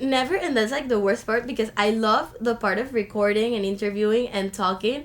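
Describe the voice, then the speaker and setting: Animated in tone, a woman talks at a fairly quick pace with hardly any pauses, her fairly high voice showing ordinary pitch variation over noticeable background noise. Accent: Spanish. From Colombia, Caribbean coast. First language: Spanish. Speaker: university student. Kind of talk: podcast interview.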